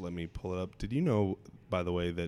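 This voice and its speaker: A hoarse male voice with fairly even intonation. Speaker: podcast host. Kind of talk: casual chat. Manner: joking, conversational.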